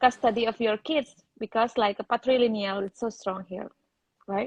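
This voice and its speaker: A woman speaks with a Balinese accent. Her pace is moderate and her intonation fairly even. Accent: Indonesian (Balinese). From Bali, Indonesia. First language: Indonesian or Balinese. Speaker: interviewee, program participant. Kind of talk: live interview. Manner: halting non-native English.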